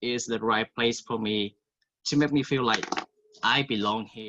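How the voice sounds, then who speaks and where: In a Vietnamese accent, a man speaks at a moderate pace and medium pitch with ordinary pitch variation. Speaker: college student. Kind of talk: testimony.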